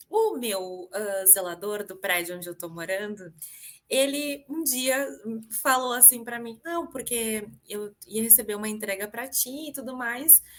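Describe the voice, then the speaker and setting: A woman speaks with a southern Brazilian accent at a fairly slow pace. Her voice is fairly high, with lively intonation. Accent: gaúcho Brazilian Portuguese. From southern Brazil, Rio Grande do Sul. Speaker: public relations professional and diversity speaker. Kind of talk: podcast interview conversation.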